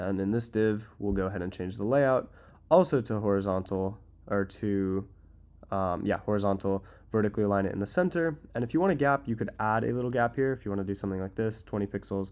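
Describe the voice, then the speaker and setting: This man has a fairly low pitch. He talks very fast. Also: ordinary pitch variation. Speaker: web design tutorial creator. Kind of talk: tutorial. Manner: casual, filler-heavy.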